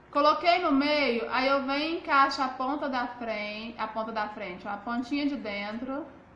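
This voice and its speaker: A woman with a high pitch speaks at a fairly slow pace, with ordinary pitch variation. Room echo is audible. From Brazil, Goiás. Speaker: makeup artist and seller. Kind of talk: live makeup tutorial. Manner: chatty, informal. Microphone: phone near.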